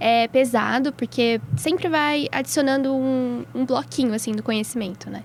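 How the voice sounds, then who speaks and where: A woman speaks with a high pitch. She leaves hardly any pauses. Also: ordinary pitch variation, moderate pace. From São Paulo state interior (Atibaia), Brazil. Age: 20s. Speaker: medical student. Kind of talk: casual chat.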